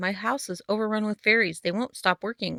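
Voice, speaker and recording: A woman puts on a rumbling character voice at a medium pitch, talking at a fairly quick pace with fairly even intonation. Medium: read story. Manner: grumbling.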